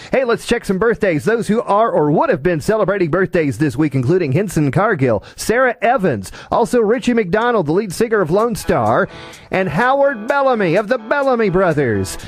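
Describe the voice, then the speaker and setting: Over music in the background, a man with a high pitch and an American accent speaks at a moderate pace with very wide pitch swings and hardly any pauses. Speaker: internet radio disc jockey hosting a classic country show. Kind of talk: radio DJ patter between songs.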